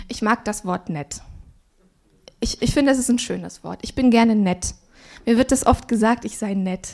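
A woman speaks at a moderate pace with long, frequent pauses. Her loudness swings widely. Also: fairly high pitch for a woman, ordinary pitch variation. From Swabia, southern Germany. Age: 30s. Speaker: pastor. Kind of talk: sermon.

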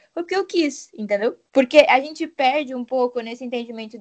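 This woman has a high pitch. She talks at a fairly quick pace. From Rio Grande do Sul, Brazil. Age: 20s. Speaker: visual arts student. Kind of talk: casual panel discussion.

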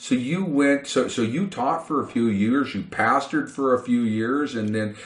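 Noticeable background noise fills the recording. The talking holds a moderate pace. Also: man. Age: 50s. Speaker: podcast host. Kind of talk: casual chat.

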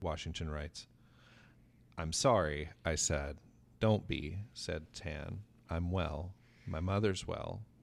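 A man with an American accent talks at a fairly slow pace in a very deep, low pitch with ordinary pitch variation. The recording is very clean, with a silent background. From South Carolina. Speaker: library media specialist, podcast host. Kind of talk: casual book discussion. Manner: halting, many fillers.

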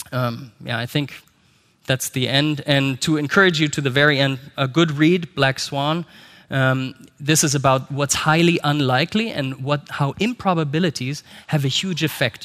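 With a German accent, a man talks at a moderate pace and a fairly high pitch with ordinary variation, on a very clean recording with a silent background. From Germany. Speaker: company executive. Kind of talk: conference talk. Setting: stage with audience.

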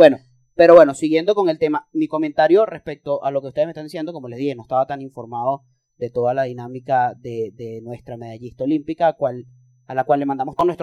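A man with a Venezuelan accent talks at a very fast pace, his pitch fairly high with ordinary variation. The sound is dry and close, with no echo. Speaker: podcast co-host, political scientist. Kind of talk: casual chat.

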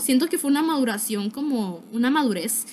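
Her intonation lively, a woman speaks at a moderate pace in a high pitch. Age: young. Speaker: podcaster. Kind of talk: casual monologue. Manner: animated.

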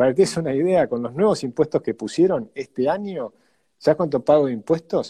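Recorded dry and close with no echo, a man speaks at a fairly quick pace with lively intonation. His fairly high voice has a dark, mellow tone. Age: 50s. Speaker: economist and politician. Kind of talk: interview.

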